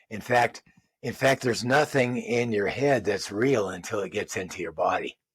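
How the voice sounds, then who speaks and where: The recording has a dry, close sound with no echo, and the voice is somewhat breathy. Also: man. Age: 70s. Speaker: physical therapist assistant and movement practitioner. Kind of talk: interview. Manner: halting.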